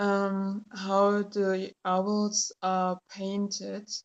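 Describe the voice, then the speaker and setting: Monotone, flat intonation from a woman at a medium pitch. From Germany. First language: German. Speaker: tarot YouTuber. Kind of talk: casual product review. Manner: hesitant, many fillers.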